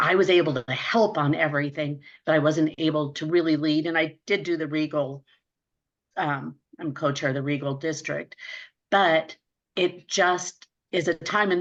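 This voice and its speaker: At a moderate pace, a woman with a fairly low pitch and fairly even intonation talks in an ordinary speaking voice. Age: 60s. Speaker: Rotary club president-elect. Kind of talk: panel discussion.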